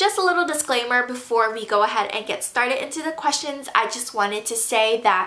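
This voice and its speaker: With audible room echo and noticeable background noise, a woman talks at a fairly quick pace in a fairly high pitch with ordinary pitch variation. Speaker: YouTuber and college student. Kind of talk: casual Q&A vlog. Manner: casual, filler-heavy with um.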